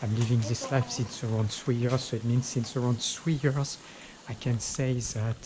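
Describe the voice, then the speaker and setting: A man with a French accent, medium in pitch, in a flat monotone. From France. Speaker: travel vlogger. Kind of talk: walking vlog talk to camera. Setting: outdoors on a street. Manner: halting, repetitive.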